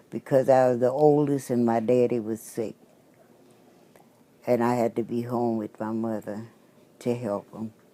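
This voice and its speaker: In a Southern US accent, a woman with a very deep, low voice and a dark, mellow tone talks at a moderate pace in a flat monotone, pausing long and often. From Louisiana. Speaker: trained nurse's aide. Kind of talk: interview answer.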